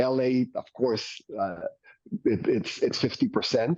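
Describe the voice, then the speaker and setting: A man speaks with a Mexican accent at a fairly slow pace. The sound is dry and close, with no echo. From Mexico. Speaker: company co-founder and marketing executive. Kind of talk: business interview. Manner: enthusiastic.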